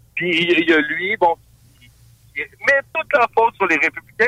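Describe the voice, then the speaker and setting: With a moderate pace and lively intonation, a man's voice comes through dry and close with no echo. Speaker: radio columnist. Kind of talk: casual radio discussion.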